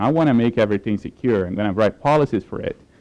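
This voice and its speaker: Dry, close sound with no echo from a man with a Portuguese accent, medium-pitched with ordinary variation and a dark, mellow tone. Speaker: application security professional. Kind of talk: conference talk. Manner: hesitant, with filler words.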